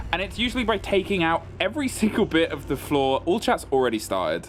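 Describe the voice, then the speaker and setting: Music plays in the background as a man speaks in a British accent. His pitch is high, with very wide pitch swings. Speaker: esports caster. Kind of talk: live commentary.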